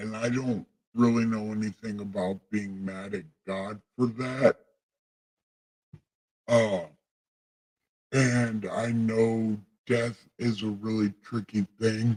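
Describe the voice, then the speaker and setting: Putting on a character voice, a man with a medium pitch talks at a fairly slow pace with long, frequent pauses. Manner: solemn, booming.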